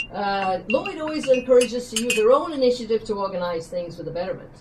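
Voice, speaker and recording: A woman with an unremarkable speaking voice, fairly high in pitch, lively in intonation, over light background noise. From western Canada. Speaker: retiring teacher. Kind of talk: retirement speech. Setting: dinner event with audience. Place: hall. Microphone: camera far.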